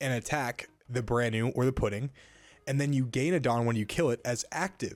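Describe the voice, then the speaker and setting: A man with a medium pitch talks over music in the background. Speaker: card game content creator. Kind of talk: casual tutorial talk.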